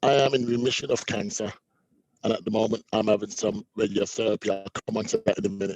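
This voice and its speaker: A man talks fairly quickly with a British accent and lively intonation. The sound is dry and close, without any echo. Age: 50s. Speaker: prostate cancer survivor. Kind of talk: testimony.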